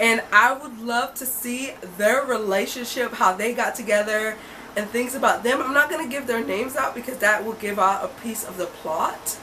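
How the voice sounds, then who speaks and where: Over noticeable background noise and audible room echo, a woman speaks at a moderate pace in a fairly high voice with an animated tone, ordinary pitch variation, and big swings in loudness. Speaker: book reviewer. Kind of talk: casual vlog book review.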